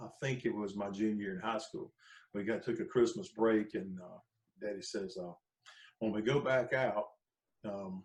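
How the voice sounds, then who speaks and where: With a Southern US accent, a man speaks with big swings in loudness and long, frequent pauses. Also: fairly low pitch for a man, ordinary pitch variation, moderate pace. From North Carolina. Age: 60s. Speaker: gospel and country musician. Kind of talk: casual interview chat.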